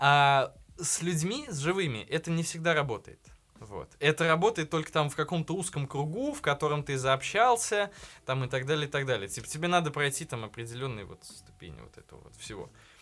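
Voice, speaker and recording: With music in the background, a man talks at a fairly quick pace and a fairly high pitch, using lively intonation and big swings in loudness. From provincial Russia. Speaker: podcast host. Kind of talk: casual chat. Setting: studio.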